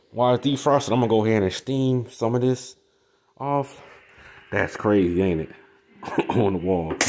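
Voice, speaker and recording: Long, frequent pauses break up a man's speech. His pitch is medium, with ordinary variation. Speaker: appliance repair technician. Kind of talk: tutorial. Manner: fast; casual.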